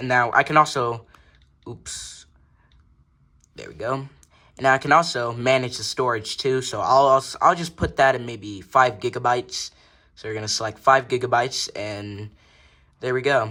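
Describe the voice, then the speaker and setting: A man mumbles at a moderate pace in a medium pitch with a bright, sharp tone, fairly even intonation, big swings in loudness and long, frequent pauses, on a very clean recording with a silent background. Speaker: tech YouTuber. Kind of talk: tutorial. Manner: mumbling; casual.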